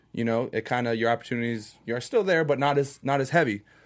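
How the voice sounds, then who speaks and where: A man with an American accent has an unremarkable speaking voice, a medium pitch and ordinary pitch variation. He talks at a fairly quick pace on a very clean recording with a silent background. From Orlando, Florida. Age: 20s. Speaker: reality TV contestant. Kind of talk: casual chat.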